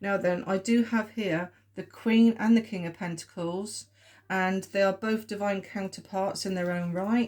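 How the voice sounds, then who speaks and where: A woman at medium pitch in a southern English accent, with flat, monotone intonation and a fairly slow pace. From southern England. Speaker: tarot reader. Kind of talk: tarot reading video. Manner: hesitant, many fillers.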